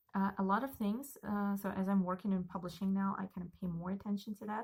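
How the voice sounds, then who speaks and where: A somewhat breathy woman's voice at medium pitch, dark and mellow in tone, at a fairly quick pace. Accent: Russian. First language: Russian. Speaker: book vlogger. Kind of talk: casual monologue.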